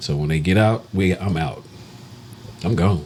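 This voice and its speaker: A man with a Texan accent and a very deep, low pitch, ordinary pitch variation, and noticeable background noise. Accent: Texan, says born for barn. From Texas, Dallas. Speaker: podcast co-host. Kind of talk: casual chat.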